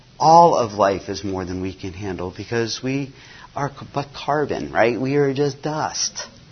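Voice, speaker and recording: A man speaks slowly, somewhat breathy, at a medium pitch. His intonation is lively. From US (missionary kid born in Nigeria). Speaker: mission agency staff, former missionary. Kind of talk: conference talk. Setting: conference breakout session.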